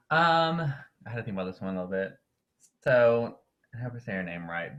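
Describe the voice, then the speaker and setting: With a Southern US accent, a man talks at a medium pitch using lively intonation. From North Carolina. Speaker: winterguard performer and educator. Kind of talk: casual interview. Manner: hesitant, many fillers.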